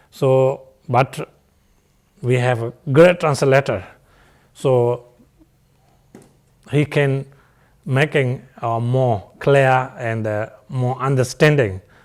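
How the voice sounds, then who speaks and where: A man at a very slow pace, with long, frequent pauses and fairly even intonation. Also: medium pitch for a man. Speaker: Buddhist teacher. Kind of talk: dharma teaching. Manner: halting with many fillers.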